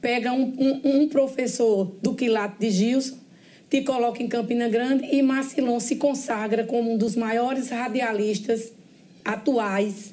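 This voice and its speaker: A woman's dark, mellow tone at a fairly slow pace, her loudness very even throughout. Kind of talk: interview question.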